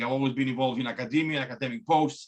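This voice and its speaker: A man with a fairly high pitch and a strong Greek accent. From Greece. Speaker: biomechanics academic. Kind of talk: talk presentation. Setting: video call. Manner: hesitant, many fillers and repeats.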